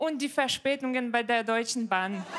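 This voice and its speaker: With a Ukrainian accent, a woman speaks at a high pitch with ordinary pitch variation over a quiet background. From Ukraine. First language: Ukrainian or Russian (speaking German). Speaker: comedian. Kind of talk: stand-up. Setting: stage with audience. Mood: dry, playful humour. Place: stage. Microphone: handheld.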